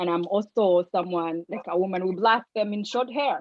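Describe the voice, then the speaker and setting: A woman speaks with a non-native accent. Her pitch is medium and varies in an ordinary way. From Africa. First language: not English. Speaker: social work student. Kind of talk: casual chat.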